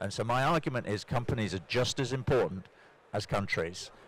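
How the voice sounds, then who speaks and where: A man with a British accent talks at a moderate pace and medium pitch with ordinary pitch variation, on a very clean recording with a silent background. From Britain. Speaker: corporate sustainability executive. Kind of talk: panel discussion. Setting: conference stage with audience.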